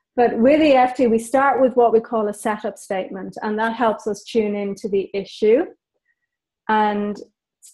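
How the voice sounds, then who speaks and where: Somewhat breathy, a woman speaks with a dark, mellow tone at a fairly high pitch, her pitch variation ordinary. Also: big swings in loudness. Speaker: EFT practitioner and pet loss counselor. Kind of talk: webcast interview explaining a technique.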